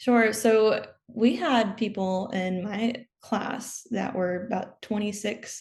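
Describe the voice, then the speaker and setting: A somewhat breathy voice with fairly even intonation over a quiet background. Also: woman. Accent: American. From US, Maryland. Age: 20s. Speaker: commercial pilot and former naval aviator. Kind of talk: interview.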